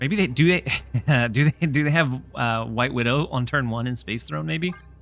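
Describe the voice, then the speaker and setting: Speech moves at a moderate pace while music plays in the background. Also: man, medium pitch for a man, lively intonation. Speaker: gaming streamer. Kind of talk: livestream gameplay commentary. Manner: calm.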